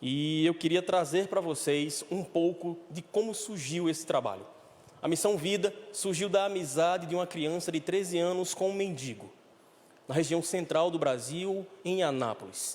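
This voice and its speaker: His pitch is high for a man and varies in an ordinary way. The pace stays moderate. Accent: northeastern Brazilian. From Brazil, Recife, Pernambuco. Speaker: director of a homeless recovery mission. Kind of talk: church talk.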